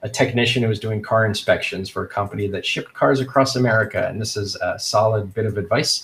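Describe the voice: The pitch stays fairly even. The delivery is plain reading aloud.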